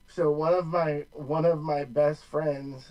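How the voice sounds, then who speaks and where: Noticeable background noise is present. The voice speaks with an American accent. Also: man. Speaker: sports podcast co-host. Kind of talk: casual chat.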